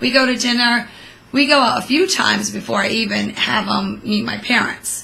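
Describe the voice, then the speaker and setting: Noticeable background noise is present. A woman talks through it at a moderate pace. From immigrant from Portuguese-speaking country, raised in US. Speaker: co-host, host's mother. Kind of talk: casual chat. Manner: animated.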